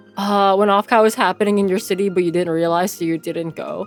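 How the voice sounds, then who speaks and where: A woman speaks at medium pitch with music playing in the background. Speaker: streamer. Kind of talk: casual chat. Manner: animated.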